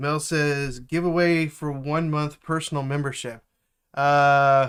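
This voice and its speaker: In a very clean recording with a silent background, a man with a fairly high pitch speaks at a very slow pace and with fairly even intonation. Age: 40s. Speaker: software developer mentor. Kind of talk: live stream chat. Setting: live stream. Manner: hesitant with many fillers.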